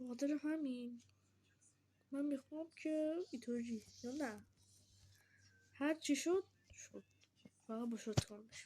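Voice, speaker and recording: The voice has a dark, mellow tone and ordinary pitch variation. It moves at a fairly slow pace with long, frequent pauses and big swings in loudness. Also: woman, high pitch for a woman. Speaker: gaming streamer. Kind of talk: gameplay commentary. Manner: casual, animated.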